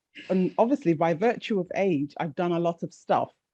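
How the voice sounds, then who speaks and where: Over music in the background, a woman with a fairly low pitch and lively intonation sounds dry and close, with no echo. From Jamaica, raised in England. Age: 60s. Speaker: retired teacher and safeguarding worker, spoken word poet. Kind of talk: interview.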